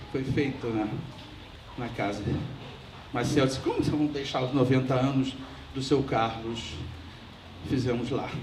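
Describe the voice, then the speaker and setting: Against noticeable background noise and audible room echo, a man talks at a fairly slow pace. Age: 70s. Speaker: family friend giving a eulogy. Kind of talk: memorial speech. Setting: memorial ceremony.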